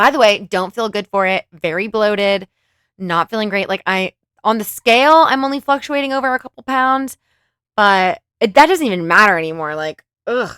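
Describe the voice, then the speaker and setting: A woman speaks with a Californian accent and lively intonation, her tone bright and sharp. The recording is very clean, with a silent background and a dry, close sound free of echo. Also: medium pitch for a woman, moderate pace. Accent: Californian girl. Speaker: commentary youtuber. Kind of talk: reaction commentary. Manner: casual, conversational.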